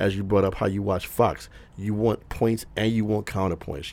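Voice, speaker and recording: With an American accent, a man speaks at a moderate pace in a very deep, low pitch, his tone dark and mellow with vocal fry. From Detroit. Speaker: music industry veteran. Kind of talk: casual chat.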